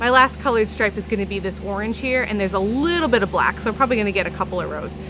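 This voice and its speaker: Over noticeable background noise, a woman speaks at a very fast pace in a medium pitch with ordinary pitch variation. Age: 30s. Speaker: knitting podcaster and yarn dyer. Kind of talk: casual chat. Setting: outdoors on her deck.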